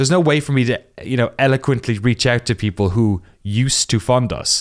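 In a southern Irish accent, a man speaks at a fairly quick pace with a medium pitch. His pitch varies in an ordinary way, and the recording is very clean with a silent background. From Ireland, Waterford (southeast). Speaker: documentary creator, games journalist. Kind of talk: interview.

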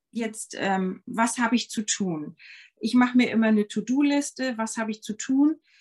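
With a dry, close sound and no echo, a woman speaks at a fairly high pitch and a moderate pace, her pitch varying in an ordinary way. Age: 50s. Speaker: yoga teacher and ayurveda health consultant. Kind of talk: casual interview chat. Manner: hesitant, many fillers.

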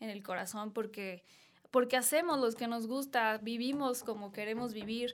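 A woman's high voice at a moderate pace, with ordinary pitch variation, in a very clean recording with a silent background. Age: 20s. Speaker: social media influencer and model. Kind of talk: interview. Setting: studio.

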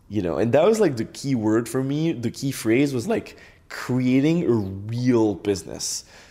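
A man speaks at a fairly slow pace with lively intonation. His voice is medium in pitch, with a dark, mellow tone. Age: 20s. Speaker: e-commerce entrepreneur. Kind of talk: interview.

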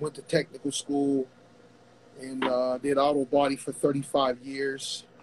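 A man with a fairly high voice speaks fairly slowly. His intonation is monotone and flat, and noticeable background noise is present. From Pittsburgh. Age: 50s. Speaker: boxing coach. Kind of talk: casual chat.

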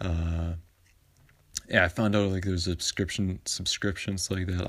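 A man with a very deep, low voice speaks at a fairly quick pace in a flat monotone, somewhat breathy, on a very clean recording with a silent background. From Vancouver, Canada. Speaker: sports podcast host. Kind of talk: casual solo monologue. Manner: halting, many fillers.

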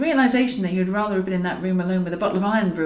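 The pitch moves in an ordinary way. The voice reads naturally.

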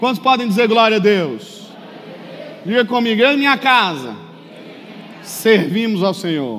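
Through noticeable background noise and audible room echo, a man speaks fairly slowly in a high pitch with lively intonation. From Brazil. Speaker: pastor. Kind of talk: sermon. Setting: church. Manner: animated.

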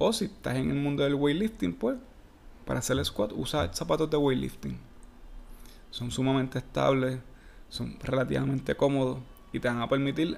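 A man with a Puerto Rican accent and medium pitch speaks at a moderate pace with lively intonation and long, frequent pauses. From Puerto Rico. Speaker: fitness coach. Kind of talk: casual solo podcast.

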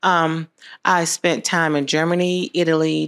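A woman's fairly low voice comes through a very clean recording with total silence behind it. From Americus, southwest Georgia, US South. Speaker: health services CEO, military veteran. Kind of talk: casual interview chat.

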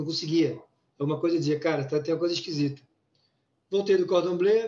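This man's high voice carries fairly even intonation. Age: 50s. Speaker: former business executive living with Parkinson's. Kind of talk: interview conversation.

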